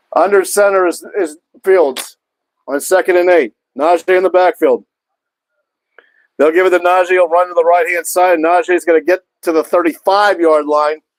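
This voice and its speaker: A loud man with a high pitch speaks at a moderate pace with fairly even intonation and long, frequent pauses, in a dry, close sound with no echo. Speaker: sports streamer. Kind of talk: live commentary. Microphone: mic cutting in and out.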